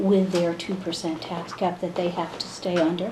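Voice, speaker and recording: In an American accent, a woman with a fairly low pitch speaks in a monotone, flat way, with audible room echo and noticeable background noise. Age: 60s. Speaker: state senator. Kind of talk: interview.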